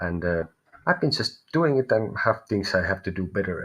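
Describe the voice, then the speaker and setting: A man with a Finnish accent talks at a fairly quick pace, somewhat breathy, with lively intonation. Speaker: tarot reader. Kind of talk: live stream reading. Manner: halting.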